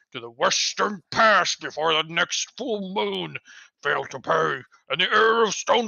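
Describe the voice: Quiet background, ordinary pitch variation, and plain reading aloud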